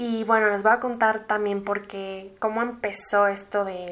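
In a Mexican accent, a woman speaks at a fairly slow pace in a medium pitch with monotone, flat intonation. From Mexico City. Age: 20s. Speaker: podcast host. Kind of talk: casual monologue.

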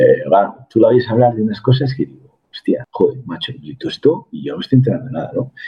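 The delivery races along at a very fast clip. There are hardly any pauses. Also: man. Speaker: business executive and mentor. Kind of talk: interview conversation.

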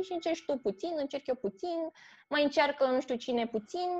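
With very wide swings in pitch, a woman talks in a high voice at a moderate speed while noticeable noise sits behind her. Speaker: theatre critic. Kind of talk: casual chat.

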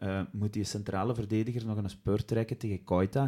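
At a moderate pace, a man with a Flemish accent speaks in a dark, mellow tone. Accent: Flemish Dutch. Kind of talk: casual chat.

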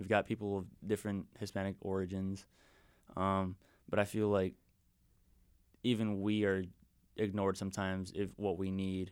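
A man with a fairly low, monotone, flat delivery at a moderate pace, long, frequent pauses and a very clean recording with a silent background. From Wisconsin, US. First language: Spanish.

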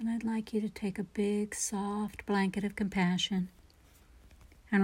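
A woman speaks at a medium pitch in a somewhat breathy, gentle, calm tone with flat, monotone intonation, on a very clean recording with a silent background. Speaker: meditation guide. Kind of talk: guided meditation. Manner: slow, calm, soothing; gentle, soft-spoken, with long pauses.

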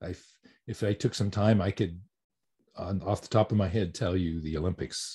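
With an American accent, a man with a very deep, low pitch speaks at a moderate pace in a dark, mellow, somewhat breathy tone, showing ordinary pitch variation and long, frequent pauses against a quiet background. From US Southwest (New Mexico). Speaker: voice actor. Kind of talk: interview. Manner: halting, with repetitions.

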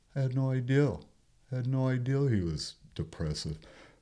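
A man with an American accent talks at a moderate pace. His dark, mellow tone moves through very wide pitch swings. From US Southwest (Los Angeles, then Page, Arizona). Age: 60s. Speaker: retired truck driver and amateur bird photographer. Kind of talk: casual interview chat.

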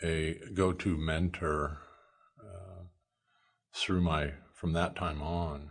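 With an American accent, a man talks very slowly in a very deep, low pitch and a monotone, flat intonation. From Nebraska, US Midwest. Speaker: podcast guest sharing faith story. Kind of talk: testimony.

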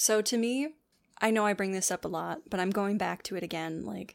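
On a very clean recording with a silent background, a woman has an ordinary speaking voice of medium pitch with ordinary pitch variation. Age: 20s. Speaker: podcast co-host. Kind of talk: casual chat.

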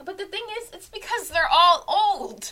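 A woman speaks in a raised, projected voice. There is noticeable background noise. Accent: American. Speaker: sports podcaster. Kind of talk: solo sports podcast monologue, casual. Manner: casual, self-deprecating, chatty.

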